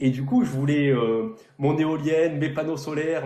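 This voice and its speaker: A man's voice carries a fairly high pitch with ordinary variation. Audible room echo hangs around it. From southern France, near Toulon. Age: 30s. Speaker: real estate investor. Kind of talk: interview on a live stream. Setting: live stream.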